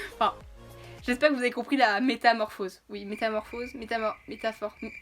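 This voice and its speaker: The woman's voice sits fairly high in pitch, and her intonation stays fairly even. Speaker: YouTuber. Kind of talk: casual vlog talk to camera. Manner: fast; not always clearly articulated.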